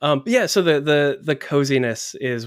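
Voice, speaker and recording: With an American accent, a man talks at a moderate pace in a normal speaking voice with ordinary pitch variation, on a very clean recording with a silent background. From US, North Carolina. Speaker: podcast host. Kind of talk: casual interview chat; scripted narration.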